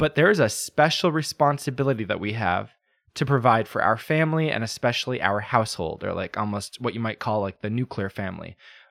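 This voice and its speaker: A man with an American accent speaks at a medium pitch with lively intonation. The recording is very clean with a silent background, and the sound is dry and close with no echo. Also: fairly quick pace. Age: 30s. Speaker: podcast host. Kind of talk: solo podcast commentary. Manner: halting, many fillers and restarts.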